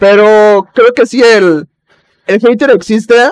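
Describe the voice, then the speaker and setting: A man speaks with lively intonation, and the sound is dry and close with no echo. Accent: Mexican. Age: 20s. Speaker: podcast host. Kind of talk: casual chat.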